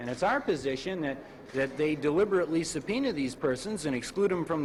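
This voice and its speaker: A man's fairly high-pitched voice with lively intonation, against noticeable background noise. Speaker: defense attorney. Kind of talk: interview answer.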